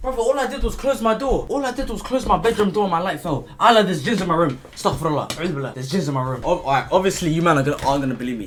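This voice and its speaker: A man's high, animated voice in a London accent, very fast with hardly any pauses, pitch swinging very widely over noticeable background noise. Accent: London multicultural English. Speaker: content creator. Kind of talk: casual Q&A vlog.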